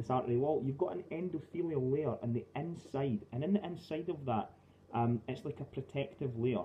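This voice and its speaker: This man, with an English accent, has a fairly high pitch and lively intonation. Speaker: health and fitness coach. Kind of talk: casual talking-head video. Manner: fast; hesitant with fillers.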